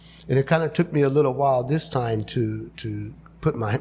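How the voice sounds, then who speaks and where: In an ordinary speaking voice, a man talks at medium pitch with ordinary pitch variation. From Imperial Valley, Southern California. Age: 60s. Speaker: candidate for a local utility board. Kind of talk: interview.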